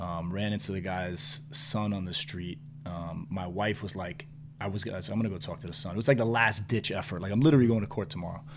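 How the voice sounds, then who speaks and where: A man with a New York accent talks very fast at a fairly low pitch, his intonation lively. The room echo is audible. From New York City. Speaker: restaurant entrepreneur. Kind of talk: casual chat.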